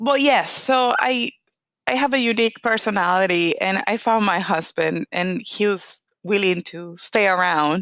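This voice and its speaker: On a very clean recording with a silent background, a woman with a Latin American accent speaks at a fairly slow pace at a medium pitch with ordinary pitch variation. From Venezuela. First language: Spanish. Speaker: oncologist. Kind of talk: interview.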